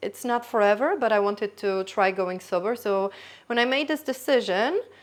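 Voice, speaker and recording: A woman with a Polish accent, fairly high in pitch, at a moderate pace with ordinary pitch variation, over a quiet background. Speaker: YouTuber. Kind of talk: casual vlog monologue. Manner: spontaneous, halting with self-corrections.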